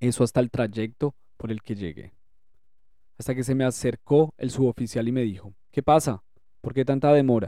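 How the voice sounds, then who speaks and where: At a moderate pace broken by long, frequent pauses, a man speaks at a medium pitch with ordinary pitch variation. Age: 40s. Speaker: war veteran. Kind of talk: testimony.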